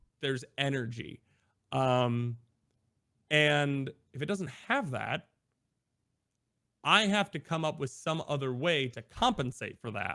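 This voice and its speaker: A man with an American accent, fairly high in pitch, lively in intonation, at a fairly slow pace broken by long, frequent pauses. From US Midwest (Iowa). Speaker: variety streamer. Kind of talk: interview conversation. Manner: energetic; casual with fillers.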